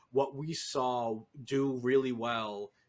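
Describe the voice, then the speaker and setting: A man with a Northeastern US accent speaks in a monotone with flat intonation. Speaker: podcast co-host, competitive Pokemon analyst. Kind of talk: casual chat.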